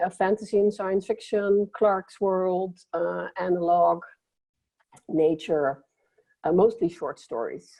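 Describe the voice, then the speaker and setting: A woman of medium pitch with a Dutch accent, at a fairly slow pace. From Netherlands. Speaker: science fiction writer. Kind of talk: panel discussion.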